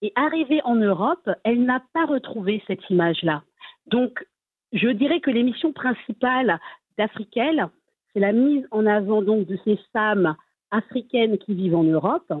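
A woman with a normal speaking voice speaks fairly slowly at a fairly high pitch, her intonation lively. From Strasbourg, Alsace, France. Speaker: association vice-president. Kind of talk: interview. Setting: remote link from Strasbourg.

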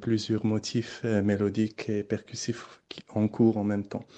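His pitch is medium for a man. A male voice is heard here. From Morocco. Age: young. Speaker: electronic musician. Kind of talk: interview.

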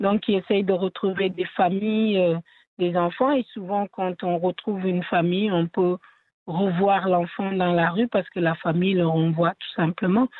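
The speaker is a woman with a medium pitch. She moves through her words at a fairly slow pace. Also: fairly even intonation. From Senegal. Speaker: theatre artist and cultural entrepreneur. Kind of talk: interview. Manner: halting.

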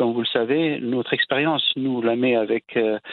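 The delivery is moderate in speed, with intonation that stays fairly level. It is an unremarkable speaking voice. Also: man. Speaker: energy agency director. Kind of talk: interview.

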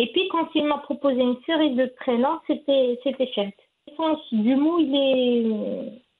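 A woman's high voice, very slow with hardly any pauses, very even loudness and ordinary pitch variation. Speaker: mother sharing parenting story. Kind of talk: interview testimony. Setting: at her home. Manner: cheerful; halting.

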